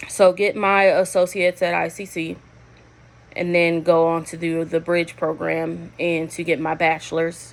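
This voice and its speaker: A woman speaks at a moderate pace. Her pitch sits fairly low. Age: 30s. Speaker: nursing student. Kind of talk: class introduction video. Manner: loud; halting, many fillers.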